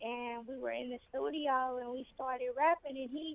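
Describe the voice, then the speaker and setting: A woman speaks in a high voice. Her pitch varies in an ordinary way. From Los Angeles, California. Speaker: rapper. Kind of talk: radio interview.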